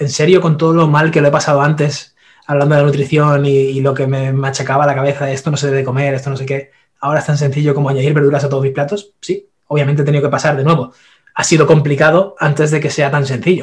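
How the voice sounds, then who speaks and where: A man talks very fast in a somewhat breathy voice. His pitch is fairly high and his intonation monotone and flat. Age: 30s. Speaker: nutrition and fitness expert. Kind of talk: interview. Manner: halting.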